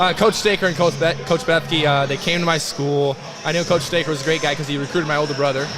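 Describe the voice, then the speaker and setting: Amid noticeable background noise and audible room echo, a man with an American accent and a fairly high pitch talks at a very fast pace with fairly even intonation. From US Midwest, eastern Iowa. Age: 20s. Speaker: college football player. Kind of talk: casual interview. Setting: loud weight room, live stream.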